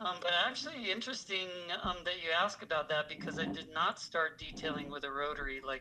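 Against noticeable background noise, a man with an American accent talks at a fairly quick pace in a fairly high pitch with ordinary pitch variation. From US Michigan and California. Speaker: auto detailing trainer. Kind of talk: casual interview chat.

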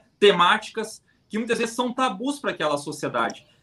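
The speaker is a man. His intonation is lively. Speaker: football fan podcast host. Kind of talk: casual live-stream chat.

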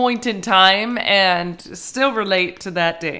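Using ordinary pitch variation, a woman with a bright, sharp tone speaks at a very slow pace.

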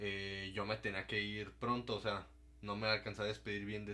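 Moving at a moderate pace, a man speaks at a fairly low pitch with a bright, sharp tone and fairly even intonation. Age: young. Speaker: podcast guest, former schoolmate. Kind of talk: casual chat.

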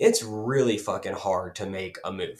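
A man speaks at a fairly slow pace with an Appalachian accent. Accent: Southern Appalachian US. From north Georgia Appalachia. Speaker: political podcast host. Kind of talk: casual political discussion.

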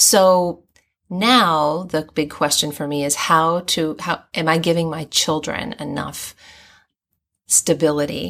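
A woman with an American accent speaks at a fairly low pitch in a plain, everyday voice, her intonation lively. The recording is very clean, with a silent background. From US and Hong Kong (raised overseas). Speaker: guest with a doctorate, third culture kid. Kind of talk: casual interview. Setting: in person.

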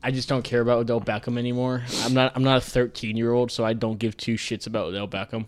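A man at a very fast pace, with hardly any pauses, a medium pitch, and monotone, flat intonation. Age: 20s. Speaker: sports podcast host. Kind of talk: casual chat. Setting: studio.

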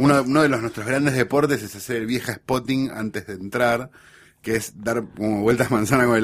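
Here is a man with a normal speaking voice, his medium pitch carried in fairly even intonation. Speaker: writer and guest. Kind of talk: casual chat.

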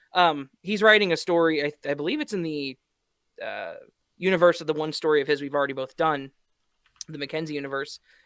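Long, frequent pauses break up a man's fairly quick delivery. He has a fairly high pitch, ordinary pitch variation and big swings in loudness. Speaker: podcast co-host. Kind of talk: casual chat.

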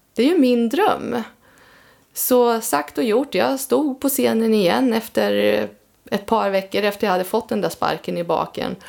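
Speaking at a fairly slow pace, a woman with a fairly high pitch uses lively intonation and vocal fry while keeping her loudness very even. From Östergötland, Sweden. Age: 50s. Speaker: amateur singer-songwriter. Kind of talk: casual interview chat. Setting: home studio.

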